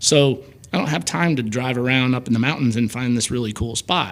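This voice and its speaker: A man with an American accent and a normal speaking voice talks at a fairly quick pace, with a medium pitch and ordinary pitch variation. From US Midwest, Belleville Illinois. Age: 50s. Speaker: car photographer. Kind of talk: casual chat.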